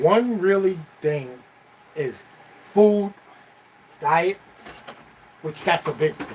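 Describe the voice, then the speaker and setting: Noticeable background noise surrounds a man with a high pitch and ordinary pitch variation. He talks very slowly, with long, frequent pauses. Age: 60s. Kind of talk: casual chat.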